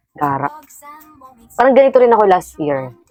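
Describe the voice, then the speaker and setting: A woman's lively intonation at a fairly quick pace, with music in the background. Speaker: teacher and podcast co-host. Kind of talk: casual chat.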